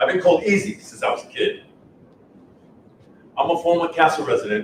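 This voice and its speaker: A man with a high-pitched voice speaks at a fairly quick pace with lively intonation. Noticeable background noise is present. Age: 60s. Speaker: former resident, person in recovery. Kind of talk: scripted reading, staged testimony.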